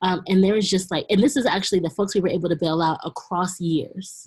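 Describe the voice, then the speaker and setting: Against a quiet background, a woman talks at a very fast pace. Her fairly low voice is somewhat breathy, with ordinary pitch variation. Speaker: community organizer. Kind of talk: webinar presentation.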